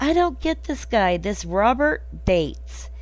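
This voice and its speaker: A woman with an American accent. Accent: southern US accent, comes and goes. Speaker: podcast host. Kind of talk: casual chat. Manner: animated.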